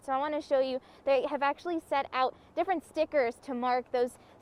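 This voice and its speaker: Noticeable background noise sits under fairly even intonation delivered at a fairly quick pace. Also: woman. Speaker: television news reporter and anchor. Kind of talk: live shot reporting in the field.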